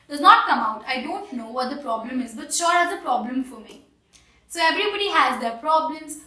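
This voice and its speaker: In an Indian accent, the speaker uses a raised, projected voice at a fairly quick pace with lively intonation. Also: woman, high pitch for a woman. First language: Hindi. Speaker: English teacher. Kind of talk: tutorial.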